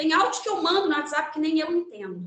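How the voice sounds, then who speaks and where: A woman talks at a fairly quick pace with lively intonation. Room echo can be heard. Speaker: lawyer and guest lecturer. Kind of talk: lecture. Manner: fast.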